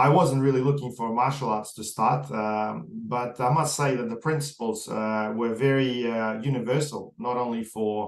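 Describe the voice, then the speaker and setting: Pitch moves in an ordinary way. An Australian accent colors the speech. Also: man. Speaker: podcast host. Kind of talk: interview. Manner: fast; hesitant, many fillers.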